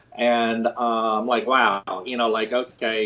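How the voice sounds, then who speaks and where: A man speaks in an American accent. He has an unremarkable speaking voice and a moderate pace. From Pennsylvania, near Philadelphia. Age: 60s. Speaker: construction company co-founder and president. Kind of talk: podcast interview.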